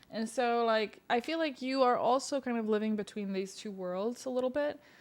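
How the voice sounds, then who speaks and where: A woman speaks with a Serbian accent at a moderate pace and with ordinary pitch variation. The recording is very clean with a silent background. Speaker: podcast host. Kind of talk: casual chat.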